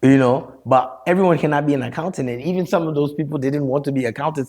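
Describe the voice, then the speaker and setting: Speaking at a very fast pace, a man with a slight Liberian accent uses a fairly high pitch and ordinary pitch variation. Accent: American English with Liberian touches. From Liberia, raised in Maryland, US. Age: 40s. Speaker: storyteller and mental health counselor. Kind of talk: podcast interview.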